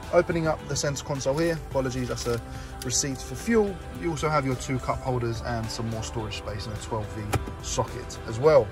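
A man talks at a fairly quick pace with clear music in the background. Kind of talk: product walkaround commentary. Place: car. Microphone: phone near.

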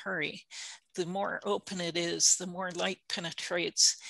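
A woman speaks at a fairly slow pace with vocal fry and a bright, sharp tone. Her pitch is fairly low, and the background is quiet. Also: dry sound with no echo. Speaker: horticulture extension specialist; presenter. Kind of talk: educational webinar presentation. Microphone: video call.

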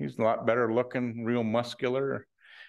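The setting is quiet. Text is read aloud in a natural voice.

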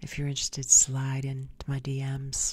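At a moderate pace, a woman talks in a very deep, low voice that is somewhat breathy. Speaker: video show host. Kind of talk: opinion monologue, scornful commentary. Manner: pointed, scolding tone, directly addressing targets. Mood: sassy, opinionated. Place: home room. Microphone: studio mic.

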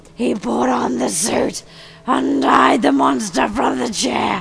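Against light background noise, a woman performs a raspy, put-on character voice. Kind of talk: horror narration.

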